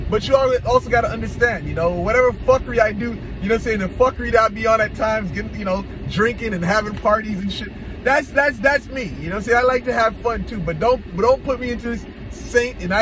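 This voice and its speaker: Dry with no echo yet carrying noticeable background noise, the speech runs at a very fast pace with fairly even intonation. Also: man. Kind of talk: casual vlog chat. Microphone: phone near.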